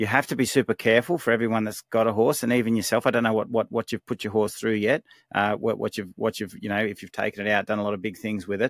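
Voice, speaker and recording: A man speaks with an Australian accent and fairly even intonation. The sound is dry and close with no echo, on a very clean recording with a silent background. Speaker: horse trainer. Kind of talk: casual Q&A advice. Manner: halting.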